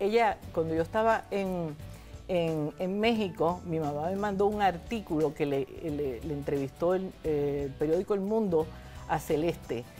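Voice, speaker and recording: Faint music plays in the background as a woman speaks at a fairly slow pace in a fairly low pitch with ordinary pitch variation. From Puerto Rico. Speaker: former senator and professor. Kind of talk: interview answer. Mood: reflective, animated storytelling. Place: studio. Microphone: lapel.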